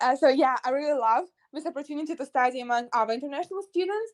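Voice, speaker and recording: The woman's high-pitched voice moves at a very fast pace with ordinary pitch variation. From Russia. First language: Russian. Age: young, about 18 to 19. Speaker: university student. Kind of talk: interview. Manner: halting, frequent hesitations.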